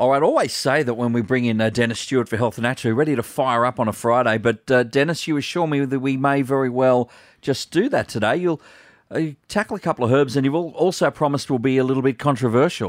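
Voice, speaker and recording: A man with an Australian accent speaks very fast at a medium pitch, with ordinary pitch variation and very even loudness. The recording is very clean with a silent background, and the sound is dry and close with no echo. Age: 30s. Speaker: radio host. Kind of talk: radio talkback hosting. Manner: jovial.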